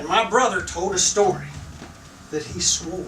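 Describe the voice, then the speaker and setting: A man is speaking with noticeable background noise. Audible room echo fills the recording. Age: 60s. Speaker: storyteller at live event. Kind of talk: live storytelling.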